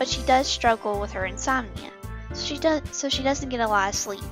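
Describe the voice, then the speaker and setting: A woman's high-pitched voice with music in the background. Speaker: animation series creator. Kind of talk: casual talk to camera about upcoming series. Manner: informal, self-correcting.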